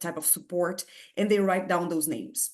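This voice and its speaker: Against a quiet background, a woman speaks at a medium pitch with a strong non-native accent. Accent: heavy foreign. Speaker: physics researcher. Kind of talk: lecture. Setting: video call. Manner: halting.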